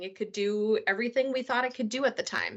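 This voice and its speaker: Her intonation stays fairly even. This woman speaks in a Minnesotan accent. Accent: Minnesota. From US Midwest, Minnesota. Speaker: solution architect presenter. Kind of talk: webinar presentation.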